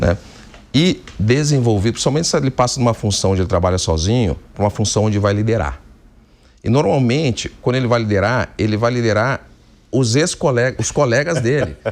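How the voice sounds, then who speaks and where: A man's medium-pitched voice at a fairly quick pace, with lively intonation and very even loudness. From Rio Grande do Sul, southern Brazil. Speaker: company executive, engineer. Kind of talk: TV business interview. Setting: TV studio.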